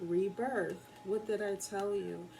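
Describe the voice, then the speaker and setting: Over noticeable background noise, a woman speaks at a very slow pace in a monotone, flat intonation. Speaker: tarot and oracle card reader. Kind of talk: oracle card reading. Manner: soft-spoken, talking very low.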